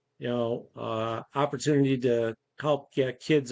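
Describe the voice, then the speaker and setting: The speaker has an American accent and fairly even intonation, recorded dry and close with no echo. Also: man. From upstate New York. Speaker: charity volunteer leader. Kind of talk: casual chat.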